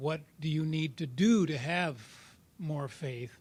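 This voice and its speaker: In a very clean recording with a silent background, a man speaks at a fairly high pitch, somewhat breathy, with ordinary pitch variation. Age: 70s. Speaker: workshop participant in recovery group. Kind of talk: sharing in a support group workshop. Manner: halting, with many fillers and repeats.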